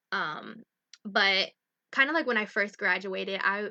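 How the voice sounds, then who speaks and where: In an American accent, a woman with an unremarkable speaking voice talks at a moderate pace and medium pitch, with ordinary pitch variation against a quiet background. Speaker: livestream host sharing her story. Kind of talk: casual livestream talk. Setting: live stream. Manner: casual with many fillers.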